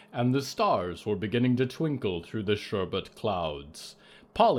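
The intonation here is lively. It is plain reading aloud.

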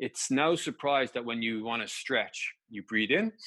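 With an Irish accent, a man speaks at medium pitch in a bright, sharp tone, his pitch varying in an ordinary way, the sound dry and close with no echo. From Ireland. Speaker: injury specialist and personal trainer. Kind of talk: interview.

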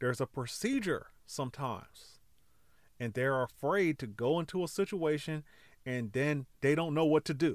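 In a very clean recording with a silent background, a man speaks in a normal speaking voice with an American accent. His pitch is fairly high, his intonation lively, and his pace moderate. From California. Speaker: podcast host. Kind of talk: motivational monologue. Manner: casual, conversational.

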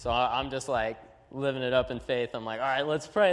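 At a fairly quick pace, a man with a plain, everyday voice speaks at medium pitch with ordinary pitch variation. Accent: American. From Texas, US. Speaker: student evangelist. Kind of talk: testimony.

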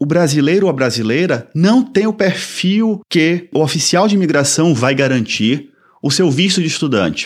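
Very wide pitch swings mark this man's fairly high voice at a moderate pace. The recording is very clean, with a silent background. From Brazil, Salvador, Bahia. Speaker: podcast host and immigration consultant. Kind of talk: informational podcast monologue. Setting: studio.

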